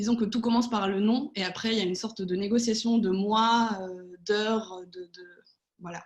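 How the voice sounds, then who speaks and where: A woman speaks with monotone, flat intonation. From Spain and France. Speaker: political adviser. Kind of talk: online panel debate. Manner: hesitant, many fillers.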